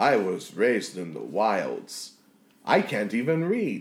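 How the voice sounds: Someone uses a put-on character voice with very wide pitch swings at a slow pace. Room echo is audible. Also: man, fairly low pitch for a man.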